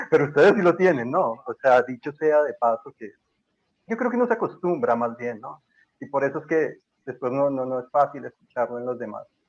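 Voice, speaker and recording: With a Bogotá accent, a man speaks at a fairly quick pace and fairly high pitch, his intonation lively and his loudness swinging widely. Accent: Bogotá Colombian (rolo). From Colombia, Bogotá. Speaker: historian and university lecturer. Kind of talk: casual podcast interview. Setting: remote call from Colombia.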